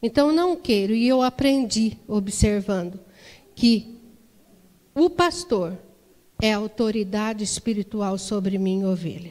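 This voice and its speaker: A woman's fairly high voice, lively intonation and long, frequent pauses. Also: fairly slow pace. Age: 60s. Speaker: women's ministry leader. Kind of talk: sermon. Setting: church.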